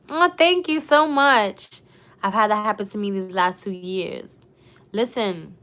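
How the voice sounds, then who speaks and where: A woman with a New York accent speaks with an animated tone and a bright, sharp tone, her fairly high pitch making very wide swings. The recording is very clean, with a silent background. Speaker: YouTuber. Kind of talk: live stream chat.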